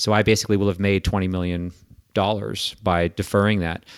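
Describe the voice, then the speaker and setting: At a moderate pace, a normal speaking voice comes through in a very clean recording with a silent background. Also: man. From Quebec, Canada. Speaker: investment firm managing director and author. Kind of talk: casual interview.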